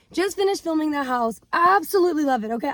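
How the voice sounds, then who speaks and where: Animated tone from a woman with lively intonation. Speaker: real estate agent, vlogger. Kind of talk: casual vlog.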